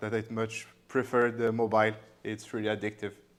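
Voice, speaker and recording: A man talks at a medium pitch with a French accent. His intonation is monotone and flat. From France. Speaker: software developer. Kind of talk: tech talk. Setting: meetup with audience. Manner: halting, with many fillers.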